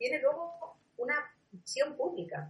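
With a high voice, a woman speaks using very wide pitch swings. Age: 40s. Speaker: communication and social media expert, Wikipedia project coordinator. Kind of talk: interview. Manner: halting.

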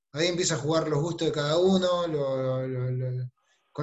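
With fairly even intonation, a somewhat breathy voice proceeds at a moderate pace. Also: man. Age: 30s. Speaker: salesperson. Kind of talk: video call team meeting.

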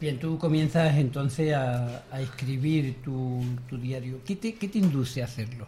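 In an ordinary speaking voice with ordinary pitch variation, the words come at a fairly slow pace. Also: man, medium pitch for a man. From Cádiz, Andalusia. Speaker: radio host. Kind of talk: radio interview. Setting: radio studio.

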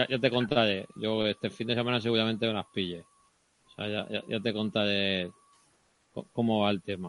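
Speaking at a moderate pace, a man with a fairly low pitch and a plain, everyday voice keeps his intonation fairly even while his loudness swings widely. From Cartagena, Spain. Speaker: podcast host. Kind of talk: casual tech discussion.

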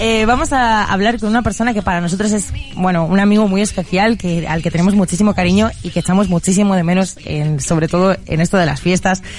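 Over noticeable background noise, a woman talks at a fairly quick pace and medium pitch. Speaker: radio host. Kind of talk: casual chat.

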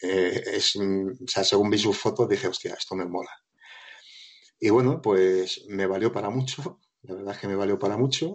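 In a plain, everyday voice, a man speaks at a moderate pace and a fairly low pitch, with ordinary pitch variation. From Spain, Madrid (Móstoles). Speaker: light painting photographer. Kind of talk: podcast interview.

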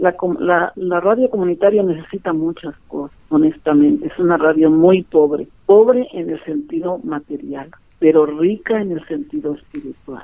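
A woman with a fairly low voice speaks at a moderate pace, her pitch swinging very widely and her loudness rising and falling a lot. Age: 50s. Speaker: community radio broadcaster. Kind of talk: interview. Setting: phone call.

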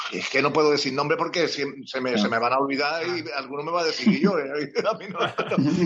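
Over noticeable background noise, a man with a fairly high pitch talks at a fairly quick pace with hardly any pauses and ordinary pitch variation. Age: 60s. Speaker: retired football club physiotherapist. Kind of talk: interview.

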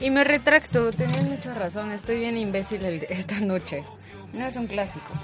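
A woman's medium-pitched voice at a moderate pace with lively intonation, over noticeable background noise. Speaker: sports radio host. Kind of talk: casual chat. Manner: animated.

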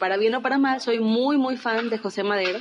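Music plays in the background. The speaker moves at a fairly quick pace. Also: woman. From Saltillo, northern Mexico. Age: 20s. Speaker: podcast co-host, former radio announcer. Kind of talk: casual chat.

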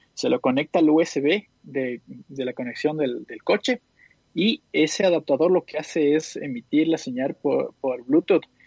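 In a normal speaking voice, a man talks at a fairly slow pace. His pitch is fairly high and his intonation lively. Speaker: tech podcast panelist. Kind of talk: casual chat.

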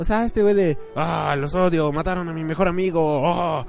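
With noticeable background noise behind him, a man speaks at a moderate pace in an animated, fairly high voice. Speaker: podcast host. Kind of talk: casual monologue.

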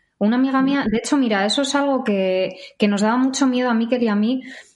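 Ordinary pitch variation from a woman, with audible room echo. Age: 30s. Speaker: vegan social media creator. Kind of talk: interview.

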